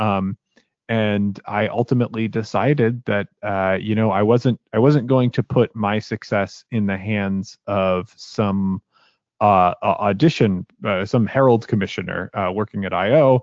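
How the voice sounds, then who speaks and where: This man has a plain, everyday voice, fairly low in pitch, with fairly even intonation. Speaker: voice actor and podcaster. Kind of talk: casual interview chat.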